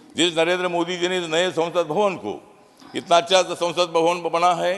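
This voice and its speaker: A man is speaking. Background noise is noticeable. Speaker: politician, parliament member. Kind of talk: parliamentary speech with rhyming couplets, humorous.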